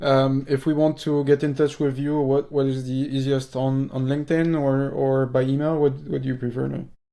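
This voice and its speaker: A man with a French accent, a dark, mellow tone and fairly high pitch, at a moderate pace with monotone, flat intonation. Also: hardly any pauses. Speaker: podcast host. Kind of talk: interview.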